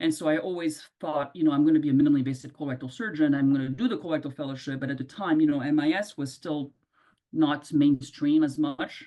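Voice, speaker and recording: A woman with a non-native accent speaks at a very deep, low pitch. Her tone is dark and mellow, her intonation fairly even. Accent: noticeable foreign. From Ivory Coast. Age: 50s. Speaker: colorectal surgeon. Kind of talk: interview answer.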